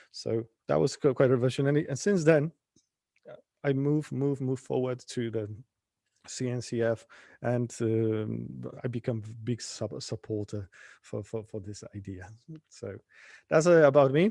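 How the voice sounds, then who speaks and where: A man with a Polish accent and a dark, mellow tone speaks with ordinary pitch variation and long, frequent pauses. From Poland. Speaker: conference speaker, infrastructure engineer. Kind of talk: tech talk. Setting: live-streamed online meetup. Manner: halting, many stutters and restarts.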